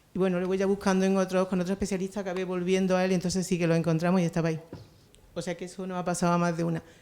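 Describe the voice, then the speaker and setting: Speaking very fast, a woman delivers her words in a medium pitch with a dark, mellow tone and flat, monotone intonation. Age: 60s. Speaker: cancer patient asking a question. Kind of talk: audience question at a talk. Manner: halting.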